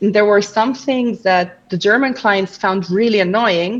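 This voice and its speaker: This woman has a non-native accent and a medium pitch. Her pitch varies in an ordinary way, and her pace is moderate. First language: not English. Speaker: language coach. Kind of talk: casual chat.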